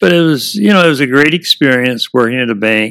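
The sound is dry and close, with no echo. A man speaks at a medium pitch with a Midwestern American accent. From US Midwest, Indiana. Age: 80s+. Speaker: retired baseball player and wood carver. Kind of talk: casual interview.

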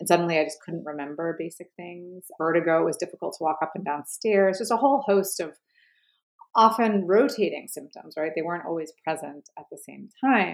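A woman with an American accent speaks at a fairly quick pace in an ordinary speaking voice. Her pitch is fairly low, her intonation lively, with big swings in loudness. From New York. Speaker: writer and poet. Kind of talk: interview.

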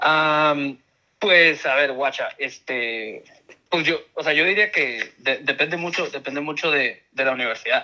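A man with an unremarkable speaking voice talks in a fairly high pitch. He moves at a fairly slow pace with ordinary pitch variation. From Tijuana, Mexico. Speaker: university lecturer. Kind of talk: casual chat.

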